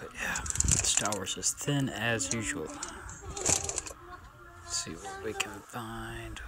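A man's very slow speech under loud background noise. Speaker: toy collector vlogger. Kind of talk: casual vlog chat. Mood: mildly disappointed, hopeful. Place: shop. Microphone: phone near.

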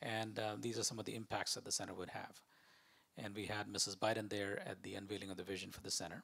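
A man talks very fast in a flat monotone. His pitch is fairly low, with vocal fry. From India (Rajasthan). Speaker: museum director and climate advisor; guest. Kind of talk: fireside chat talk with slides. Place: hall. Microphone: handheld.

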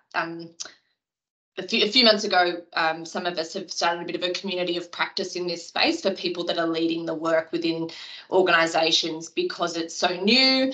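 A woman speaks in an ordinary speaking voice, fairly low in pitch and at a fairly quick pace, with fairly even intonation over a quiet background. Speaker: emergency services attendee. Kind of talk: webinar Q&A. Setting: video call webinar. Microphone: video call.

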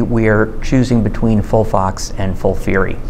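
A man talks with ordinary pitch variation over light background noise. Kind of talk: interview answer.

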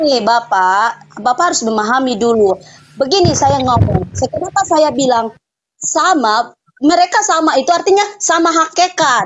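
Her loudness stays very even while her high pitch swings very widely. The woman keeps a moderate pace. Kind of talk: debate. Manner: halting.

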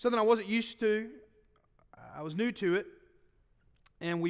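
A man speaks with a Southern US accent against a quiet background. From US South. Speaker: pastor. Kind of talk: sermon. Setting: church. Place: church. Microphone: podium.

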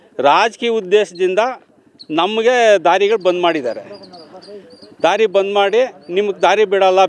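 Over noticeable background noise, a man speaks in a high voice with very even loudness. His intonation stays fairly even. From Karnataka, Hosakote area near Bengaluru. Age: 60s. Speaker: farmer. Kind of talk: on-the-spot news interview. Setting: outdoors at the village site.

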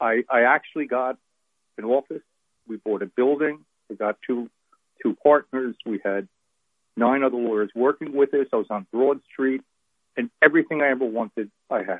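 Delivered at a moderate pace, the speech has ordinary pitch variation and long, frequent pauses. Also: man, medium pitch for a man. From New Jersey, Monmouth County (North Jersey shore). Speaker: pro-life attorney. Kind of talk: interview. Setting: phone call.

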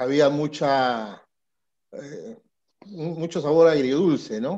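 A man's fairly high-pitched voice with a dark, mellow tone and ordinary pitch variation, against a quiet background. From Peru. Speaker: sports journalist; show host interviewer. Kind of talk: interview. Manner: animated. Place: home room. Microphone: headset.

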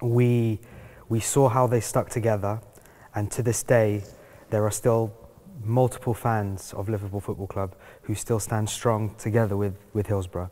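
With a London accent, a man speaks in a dark, mellow tone at a fairly low pitch. His intonation is monotone and flat, broken by long, frequent pauses. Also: moderate pace. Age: young. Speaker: fire survivor; panelist. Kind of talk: panel discussion. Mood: earnest, serious. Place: hall.

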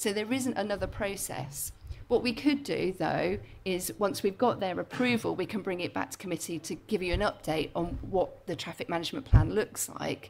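A woman at medium pitch talks at a moderate pace with lively intonation and vocal fry, over light background noise. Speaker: planning officer. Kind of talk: council meeting explanation. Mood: calm, explanatory. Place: meeting room.

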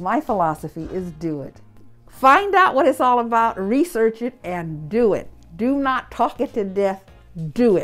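A woman's fairly high voice with very wide pitch swings, fairly slow pace, music in the background. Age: 80s+. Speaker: cake business owner, former mayor. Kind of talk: interview answer.

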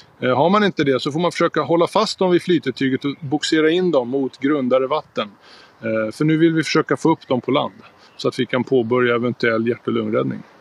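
A man speaks at a fairly quick pace with ordinary pitch variation, the sound dry with no echo. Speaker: water safety instructor. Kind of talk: tutorial. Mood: calm, serious. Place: garden. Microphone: phone near.

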